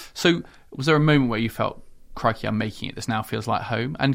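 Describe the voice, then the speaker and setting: Talking very fast with a British accent, a man uses a medium pitch, vocal fry and ordinary pitch variation on a very clean recording with a silent background. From UK. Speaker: diplomat and podcast host. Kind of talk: interview.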